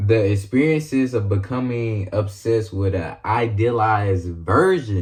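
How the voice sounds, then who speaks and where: Over a quiet background, a man speaks somewhat breathily with ordinary pitch variation. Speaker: YouTuber. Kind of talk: video essay narration. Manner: casual.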